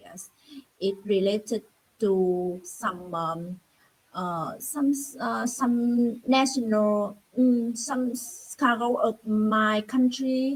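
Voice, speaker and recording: Somewhat breathy, a woman with a Vietnamese accent and a fairly high pitch speaks at a very slow pace with ordinary pitch variation. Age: 30s. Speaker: English learner, government employee. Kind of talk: online English conversation practice. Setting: video call. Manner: halting, many fillers.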